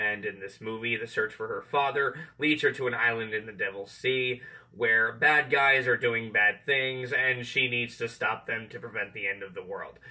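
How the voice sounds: Speaking at a moderate pace, a man uses a medium pitch and a bright, sharp tone with ordinary pitch variation.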